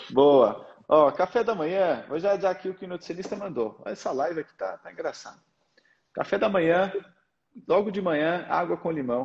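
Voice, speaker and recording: This man's voice sits high in pitch and varies in pitch in an ordinary way. His loudness rises and falls sharply. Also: moderate pace. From Portugal. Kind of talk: casual interview and mentoring chat.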